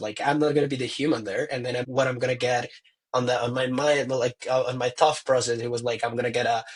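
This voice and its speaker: A man's somewhat breathy voice at a fairly quick pace, with monotone, flat intonation. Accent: non-native. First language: not English. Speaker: tourism professional. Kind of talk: casual chat. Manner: halting.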